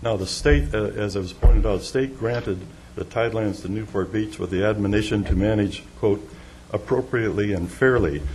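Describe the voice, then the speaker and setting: A man speaks at a fairly quick pace in a fairly low pitch with ordinary pitch variation. Audible room echo and noticeable background noise surround his voice. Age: 70s. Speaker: property developer speaking at public comment. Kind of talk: public comment at council meeting. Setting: council chamber podium. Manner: halting, many fillers.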